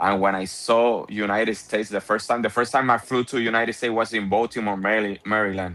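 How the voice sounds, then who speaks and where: Speaking with a Spanish accent, a man talks very fast with hardly any pauses, his fairly low voice bright and sharp in tone but monotone and flat in intonation. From Puerto Rico. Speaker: car window tinter and content creator. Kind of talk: casual chat.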